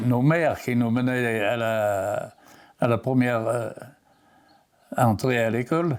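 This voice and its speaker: Very slowly, a man talks with a medium pitch. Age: 90s. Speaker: elderly interviewee, farmer's son. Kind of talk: oral history interview. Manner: halting, many repetitions and hesitations.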